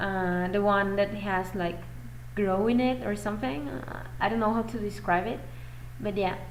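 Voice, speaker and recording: A woman's voice in a Mexican accent, with audible room echo. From Mexico. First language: Spanish. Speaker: fan vlogger. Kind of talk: casual chat. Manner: animated.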